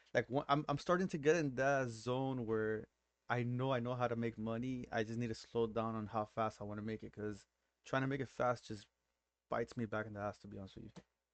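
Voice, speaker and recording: Speaking at a very fast pace with fairly even intonation, a man talks in a Miami accent. The background is quiet. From Miami, Florida. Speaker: day trader. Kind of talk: casual chat.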